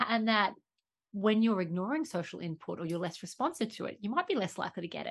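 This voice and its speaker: With an Australian accent, a woman speaks very fast at a medium pitch, her voice making very wide pitch swings. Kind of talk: interview.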